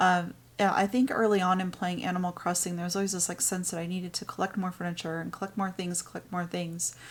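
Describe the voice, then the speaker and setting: Soft-spoken and at a medium pitch, a woman races along very fast in a flat monotone with hardly any pauses. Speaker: gaming YouTuber. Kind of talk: gameplay commentary. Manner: hesitant, many fillers.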